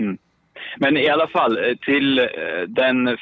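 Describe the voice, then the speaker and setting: Medium in pitch, a man talks in an unremarkable speaking voice with fairly even intonation. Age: 20s. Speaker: caller. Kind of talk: casual chat. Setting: phone call.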